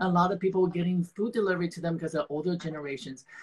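A man talks at a very fast pace in a high-pitched voice. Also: ordinary pitch variation.

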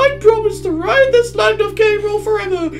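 Using a put-on character voice, a woman speaks at an extremely high pitch over clear background noise.

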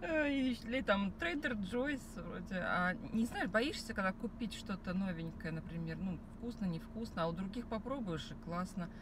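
A woman's medium-pitched voice with lively intonation, a moderate pace and few pauses

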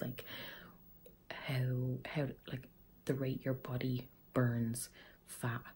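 In an Irish accent, a woman speaks with a very deep, low pitch, a dark, mellow tone, a somewhat breathy quality and monotone, flat intonation. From Ireland. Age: 20s. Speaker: vlogger. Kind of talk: casual talk to camera.

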